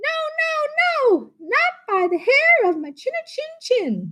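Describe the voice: A put-on character voice at an extremely high pitch, delivered at a fairly slow pace. The pitch swings very widely.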